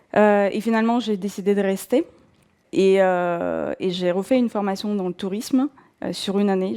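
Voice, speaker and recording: A woman's medium-pitched voice with a dark, mellow tone and a Russian accent, at a moderate pace with ordinary pitch variation, on a very clean recording with a silent background. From southern Russia, North Caucasus. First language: Russian (speaking French). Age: 40s. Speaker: former travel agency manager turned bookseller. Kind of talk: personal testimony. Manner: hesitant, many fillers.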